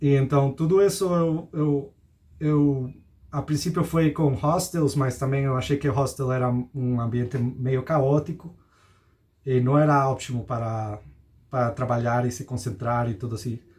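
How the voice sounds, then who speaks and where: The speaker has a Spanish accent and sounds somewhat breathy. Pitch varies in an ordinary way. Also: man, medium pitch for a man. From Costa Rica. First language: Spanish (speaking Portuguese). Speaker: digital nomad. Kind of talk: interview. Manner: halting.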